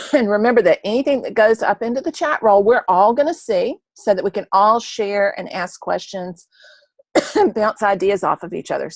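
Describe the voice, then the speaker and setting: The speaker puts on a hoarse character voice. The pace is moderate. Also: woman, fairly high pitch for a woman. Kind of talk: instructional, online session.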